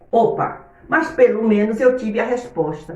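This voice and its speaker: Audible room echo surrounds a woman's fairly high-pitched voice. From Brazil, Bahia (Itabuna). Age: 60s. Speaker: Sunday school teacher, missionary. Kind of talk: Bible lesson. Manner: animated.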